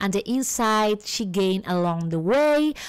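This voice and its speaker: A woman with a Spanish accent speaks at medium pitch and a fairly slow pace on a very clean recording with a silent background. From Argentina. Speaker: podcast host. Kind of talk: scripted intro; podcast interview.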